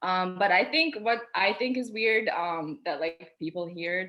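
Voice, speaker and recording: Amid noticeable background noise, a woman with an Albanian accent speaks at a medium pitch. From Albania, moved to US at ten. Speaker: pharmacy student. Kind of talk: casual chat.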